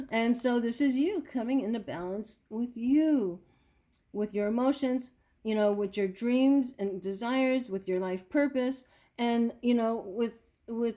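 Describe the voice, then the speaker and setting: A woman's dark, mellow tone at a fairly high pitch, with ordinary pitch variation and a fairly slow pace. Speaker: tarot reader. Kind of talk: tarot reading monologue. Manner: animated.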